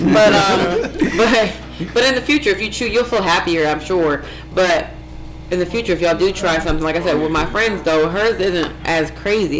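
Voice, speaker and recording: A woman with an American accent talks at a fairly low pitch with ordinary pitch variation. Audible room echo and noticeable background noise fill the recording. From Ohio (Warren). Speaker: vegan chef and business owner. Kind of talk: casual interview chat. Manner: fast.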